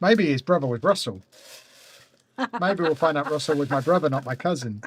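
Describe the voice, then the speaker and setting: This man talks at a fairly quick pace with lively intonation and a somewhat breathy voice, recorded with a dry, close sound and no echo. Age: 40s. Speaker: LEGO live streamer. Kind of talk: casual chat during live build stream.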